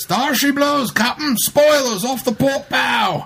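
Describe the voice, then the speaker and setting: A put-on character voice from a man, extremely high in pitch and fairly slow in pace. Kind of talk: pirate speech.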